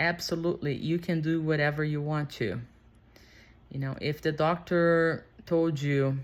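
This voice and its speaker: On a very clean recording with a silent background, a woman with a non-native accent speaks at a fairly slow pace in a very deep, low pitch with fairly even intonation. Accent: non-native English speaker. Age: 40s. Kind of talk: casual unscripted talk to camera.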